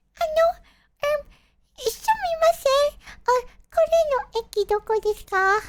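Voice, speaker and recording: In a put-on character voice, the speaker mumbles in an extremely high pitch and a timid tone, with long, frequent pauses. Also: moderate pace. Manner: timid mumbling.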